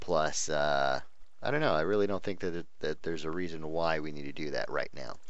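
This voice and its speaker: A man talks at a fairly quick pace, his voice carrying audible room echo. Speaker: gaming youtuber. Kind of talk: gameplay commentary. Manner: hesitant, many fillers.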